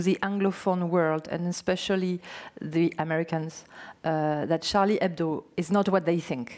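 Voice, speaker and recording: In a French accent, a woman speaks at a medium pitch and a moderate pace. The recording is very clean, with a silent background. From French Basque Country. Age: 40s. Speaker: novelist. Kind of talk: on-stage interview.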